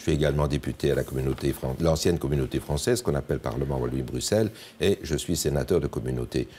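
Talking at a very fast pace, a man has a very deep, low pitch, a dark, mellow tone, vocal fry and ordinary pitch variation. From Belgium, Liège. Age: 70s. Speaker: politician and retired neurosurgeon. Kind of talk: TV interview.

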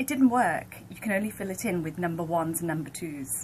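A woman with an English accent, at a fairly quick pace and medium pitch, with very wide pitch swings and light background noise. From United Kingdom. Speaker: radio account executive. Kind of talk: reading jokes on radio morning show. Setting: radio studio. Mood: amused, light. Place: office.

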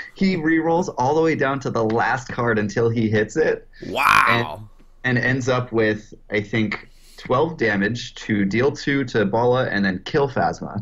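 The pace is moderate. A man is speaking, with ordinary pitch variation. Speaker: podcast guest. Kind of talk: casual podcast chat. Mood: amused recounting. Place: home room. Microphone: webcam.

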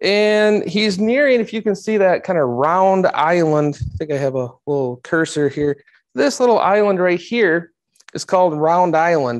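Over a quiet background, a man with a high-pitched voice speaks at a moderate pace with lively intonation. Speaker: history teacher giving a talk. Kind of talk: lecture.

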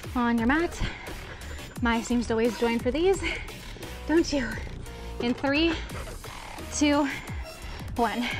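Clear music plays behind a woman speaking at a high pitch with ordinary pitch variation. Her pace is very slow, with long, frequent pauses. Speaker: fitness instructor. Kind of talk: workout instruction. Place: garden.

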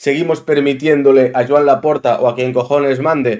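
With an animated tone and ordinary pitch variation, a man speaks at a moderate pace against a quiet background. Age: 30s. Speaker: football YouTuber. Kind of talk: opinion monologue.

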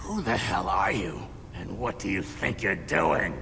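Against loud background noise, a man does a put-on character voice at a fairly slow pace. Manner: hostile, suspicious.

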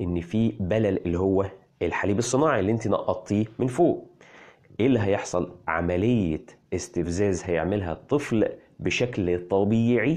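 A fairly low-pitched man at a moderate pace with ordinary pitch variation, against a quiet background. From Egypt. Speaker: parenting health blogger. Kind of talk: health explainer video. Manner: animated.

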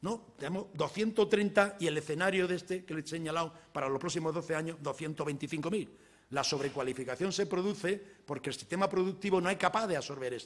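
This man has a high pitch for a man, ordinary pitch variation, and a moderate pace. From Andalusia, Spain (village in Jaén province); Andalusia. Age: 60s. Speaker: economics professor. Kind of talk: lecture. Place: hall. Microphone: podium.

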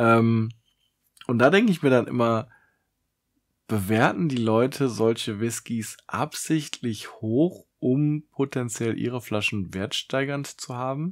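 A man at a very slow pace, with ordinary pitch variation and a quiet background. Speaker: whisky reviewer, video creator; whisky reviewer. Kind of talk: solo tasting review vlog. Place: home room. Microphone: studio mic.

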